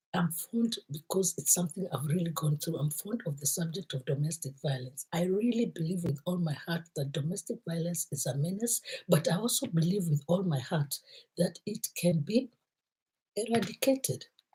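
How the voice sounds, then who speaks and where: A woman speaks at a moderate pace in a fairly low, dark and mellow voice. It is somewhat breathy, with lively intonation. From Kenya. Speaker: motivational vlogger. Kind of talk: motivational talk.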